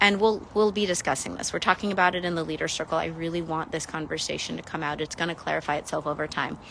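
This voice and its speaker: This woman talks at a fairly quick pace in a fairly low pitch, with ordinary pitch variation. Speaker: spiritual mentor. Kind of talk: livestream monologue. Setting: livestream. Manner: fast; halting.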